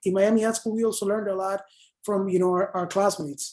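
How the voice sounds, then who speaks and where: A woman speaks with a Spanish accent. Her tone is dark and mellow. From Panama. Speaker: advertising copywriter. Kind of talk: online panel Q&A. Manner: animated, many fillers.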